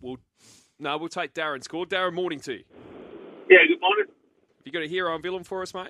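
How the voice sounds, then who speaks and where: Speaking very fast in an Australian accent, a man with a high pitch and fairly even intonation makes long, frequent pauses, with big swings in loudness. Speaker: radio sports host. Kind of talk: live radio sports chat.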